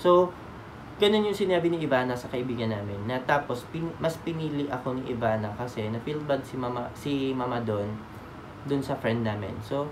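Noticeable background noise runs under the recording. A man speaks at a moderate pace. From Philippines. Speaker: vlogger. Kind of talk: casual storytelling vlog. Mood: sentimental, grateful. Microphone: phone near.

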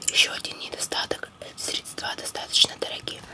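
The speaker is a woman in a whisper. She moves at a moderate pace. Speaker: ASMR creator. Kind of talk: ASMR reading of a cosmetics book while chewing gum. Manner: whispered. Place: home room. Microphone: phone near.

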